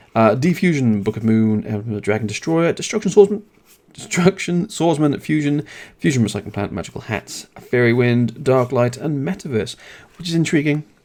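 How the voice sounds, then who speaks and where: A man talks at a fairly quick pace with a British accent. His medium-pitched voice moves in very wide pitch swings. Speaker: card game YouTuber. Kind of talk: product review. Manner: fast; casual.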